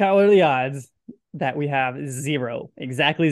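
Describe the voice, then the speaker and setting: Speaking at a moderate pace, a man with an American accent has a plain, everyday voice pitched fairly high. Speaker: podcast host. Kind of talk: casual sports podcast chat.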